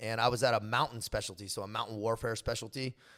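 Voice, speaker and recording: In a very clean recording with a silent background, a man speaks at a fairly quick pace. His medium-pitched voice carries an American accent. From California, San Diego North County. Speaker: former special forces soldier. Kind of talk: casual chat. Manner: animated.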